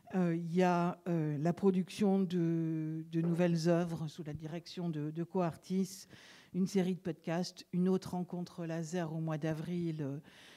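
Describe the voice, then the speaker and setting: A woman speaks at a very slow pace in a fairly low, dark, mellow tone. Her intonation is monotone and flat. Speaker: event host. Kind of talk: event introduction. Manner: hesitant, many fillers.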